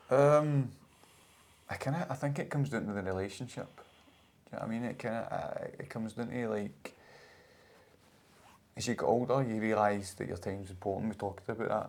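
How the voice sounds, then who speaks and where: Someone with a Scottish accent talks at a fairly quick pace between long, frequent pauses. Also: man, medium pitch for a man, ordinary pitch variation. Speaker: podcast host. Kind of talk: casual podcast conversation.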